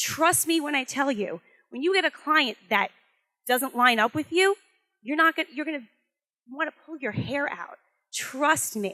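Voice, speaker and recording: At a moderate pace and high pitch, a woman projects a raised voice with a bright, sharp tone and lively intonation, leaving long, frequent pauses, in a dry, close sound with no echo. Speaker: branding strategist and motivational speaker. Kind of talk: motivational talk to live audience. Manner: loud; animated.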